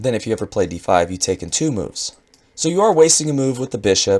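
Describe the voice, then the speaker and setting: The man's voice sits at a medium pitch and moves at a fairly quick pace. His pitch swings very widely. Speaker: chess commentator. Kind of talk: game analysis commentary.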